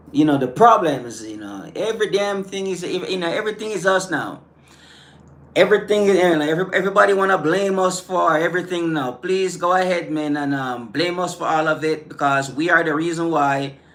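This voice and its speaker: With noticeable background noise behind him, a man speaks fairly quickly in an animated tone, his high voice showing ordinary pitch variation. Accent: Caribbean. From Caribbean islands. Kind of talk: live stream rant responding to chat. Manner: halting, many fillers and repetitions.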